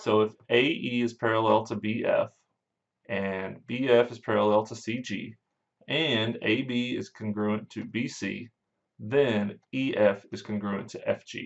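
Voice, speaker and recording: A man with an ordinary speaking voice, pitched in the medium range. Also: fairly slow pace. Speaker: math teacher. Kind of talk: lecture.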